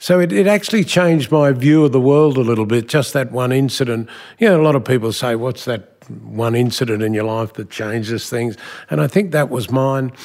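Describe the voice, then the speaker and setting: Someone with an Australian accent speaks at a fairly quick pace with lively intonation. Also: man, medium pitch for a man. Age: 70s. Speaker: business executive. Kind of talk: interview.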